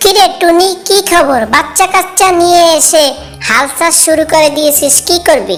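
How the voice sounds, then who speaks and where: A cartoonish character voice speaks at a moderate pace over clear music in the background. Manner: rude, dismissive.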